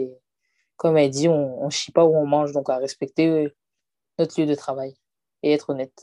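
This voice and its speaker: Very deep, low female voice with a dark, mellow tone and monotone, flat intonation over a quiet background. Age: 20s. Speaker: hairdresser and salon owner. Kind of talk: interview. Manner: casual.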